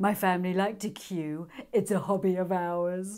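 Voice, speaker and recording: A put-on character voice, female-sounding and at a middle pitch, drawls at a moderate pace in a monotone, flat way. The recording is very clean, with a silent background. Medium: read story. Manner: lazy, drawling.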